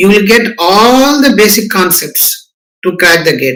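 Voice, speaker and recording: A man's bright, sharp tone at a fairly slow pace. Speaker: professor. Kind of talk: lecture.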